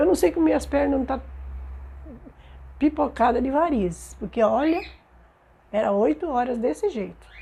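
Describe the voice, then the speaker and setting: In a dark, mellow tone, a woman speaks at high pitch with very wide pitch swings, a moderate pace, and long, frequent pauses. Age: 70s. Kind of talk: oral history interview answer.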